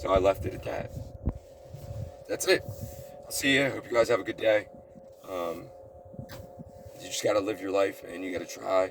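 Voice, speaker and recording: Music plays in the background as a man speaks. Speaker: vlogger. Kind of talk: personal vlog monologue. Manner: rambling, scattered delivery.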